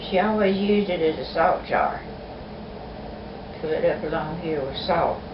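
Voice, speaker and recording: In an East Texas accent, a woman speaks at a moderate pace and fairly low pitch, her intonation fairly even, with long, frequent pauses and noticeable background noise. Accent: Southern US, East Texas. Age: 80s+. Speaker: family storyteller. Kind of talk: oral history interview answer.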